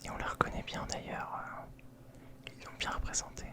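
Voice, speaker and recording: Whispering at a very slow pace comes through over noticeable background noise. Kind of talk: ASMR whispered show-and-tell of collectibles, casual talk to camera. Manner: whispering, relaxing.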